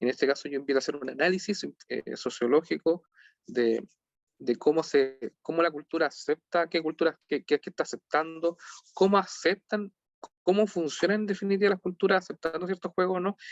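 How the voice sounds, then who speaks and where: A man with a high pitch and a Chilean accent at a fairly quick pace. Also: ordinary pitch variation. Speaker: lecturer on game sociology. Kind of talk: online lecture. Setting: video call. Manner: halting, many repetitions.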